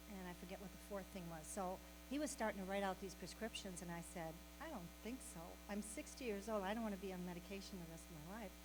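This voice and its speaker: Someone speaks at a very fast pace in a space with audible room echo. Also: woman. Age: 70s. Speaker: health program facilitator. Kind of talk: welcome talk and introduction. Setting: meeting room with audience.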